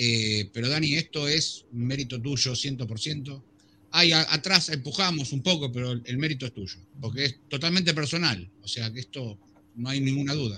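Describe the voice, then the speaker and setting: This man talks at a fairly slow pace, with a fairly high pitch and ordinary pitch variation. His tone is bright and sharp. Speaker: co-host. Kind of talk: casual chat.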